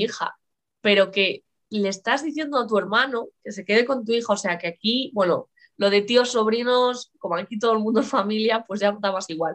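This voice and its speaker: This woman has a normal speaking voice, pitched fairly high. She talks at a moderate pace. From Galicia, Spain (Lugo). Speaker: writer and biology teacher. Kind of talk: casual interview chat. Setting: live stream.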